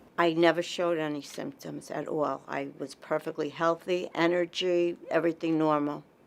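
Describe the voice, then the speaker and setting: Delivering in a flat monotone with an American accent, a woman speaks at a fairly low pitch and moderate pace with hardly any pauses. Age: 60s. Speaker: patient. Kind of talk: testimony.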